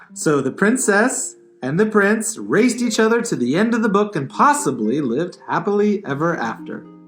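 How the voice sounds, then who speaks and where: A man's playful, high-pitched voice at a moderate pace, with very wide pitch swings and music in the background. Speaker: librarian puppeteer. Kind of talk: children's puppet show narration. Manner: playful, storytelling.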